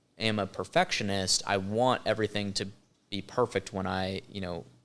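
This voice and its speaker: A man's fairly low voice at a fairly slow pace. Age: 20s. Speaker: photographer and business owner. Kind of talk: podcast interview. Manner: halting.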